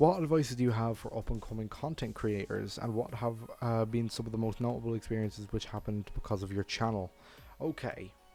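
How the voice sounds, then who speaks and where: With music playing in the background, a man with an Irish accent speaks fairly quickly at a medium pitch and with ordinary pitch variation. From Ireland. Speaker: furry YouTuber. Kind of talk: casual Q&A monologue. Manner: casual, with filler words.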